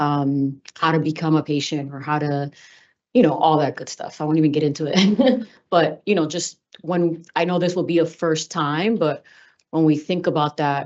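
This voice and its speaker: Speaking with a Spanish accent, a woman uses a very deep, low pitch at a moderate pace with ordinary pitch variation. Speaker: cannabis regulatory commissioner. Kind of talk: public meeting discussion. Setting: hybrid public meeting. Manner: casual, filler-heavy.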